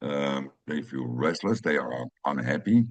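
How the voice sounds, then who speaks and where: A man speaks with a Dutch accent at a fairly slow pace. His pitch swings very widely. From Netherlands, Amsterdam. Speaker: personal growth video creator. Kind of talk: personal monologue. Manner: halting, many fillers.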